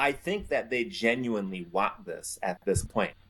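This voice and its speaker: A man speaks with an American accent. His voice has vocal fry. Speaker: former teacher and political commentator. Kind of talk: casual chat.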